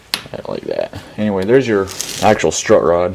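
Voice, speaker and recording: The speaker is a man. He talks at a moderate pace. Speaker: car repair youtuber. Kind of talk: tutorial. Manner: casual, with fillers.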